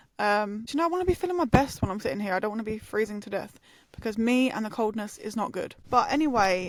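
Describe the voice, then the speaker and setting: A woman speaks very fast with an English accent. Her fairly high voice has lively intonation. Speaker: podcast host. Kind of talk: casual chat. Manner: animated.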